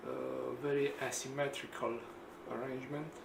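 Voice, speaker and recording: A man with a Romanian accent amid audible room echo and noticeable background noise. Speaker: engineer and DIY video maker. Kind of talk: tutorial. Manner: halting, many fillers.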